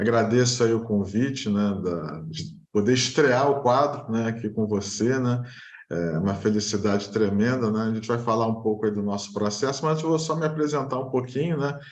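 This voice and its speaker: Male speech in a Rio de Janeiro accent, medium in pitch with ordinary pitch variation, at a moderate pace with hardly any pauses and audible room echo. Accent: Rio de Janeiro (carioca) Brazilian Portuguese. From Brazil, Rio de Janeiro. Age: 40s. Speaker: engineer, client of a real estate agency. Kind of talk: interview testimony.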